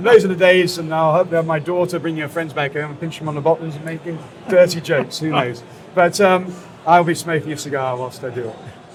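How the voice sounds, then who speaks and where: A man's fairly high voice at a very fast pace, with ordinary pitch variation, big swings in loudness and noticeable background noise. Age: 60s. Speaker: cigar brand founder. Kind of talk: interview. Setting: trade fair.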